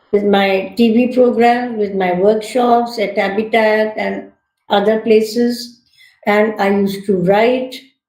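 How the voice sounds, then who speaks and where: In a room with audible echo, a woman speaks at a fairly slow pace with a fairly high pitch and monotone, flat intonation. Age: 60s. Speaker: retired teacher and environmentalist. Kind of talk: talk to an online audience.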